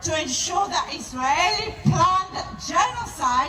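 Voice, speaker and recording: Speaking at a very slow pace, a woman uses a raised, projected voice with lively intonation. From Israel. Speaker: activist. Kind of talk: protest speech. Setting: outdoors.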